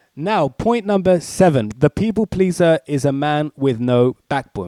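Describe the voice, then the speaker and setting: A man with a British accent, dark and mellow in tone, with very wide pitch swings and a dry, close sound with no echo. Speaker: author. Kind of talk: casual talk. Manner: casual.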